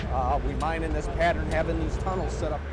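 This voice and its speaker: A man talks at a very fast pace. The sound is dry with no echo, but loud background noise is present. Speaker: mine guide. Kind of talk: explanatory tour talk. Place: tunnel cave.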